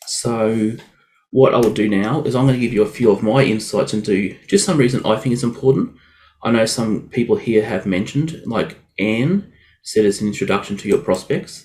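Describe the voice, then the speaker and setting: With an Australian accent, a man speaks at a medium pitch. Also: ordinary pitch variation. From Australia (Queensland). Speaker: WordPress web developer. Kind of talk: webinar presentation. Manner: fast when excited; casual, filler-heavy.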